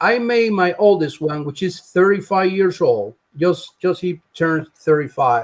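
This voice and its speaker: Pitched high for a man, he speaks at a fairly slow pace with hardly any pauses. His pitch variation is ordinary. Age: 60s. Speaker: Cuban exile guest. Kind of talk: casual chat. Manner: halting.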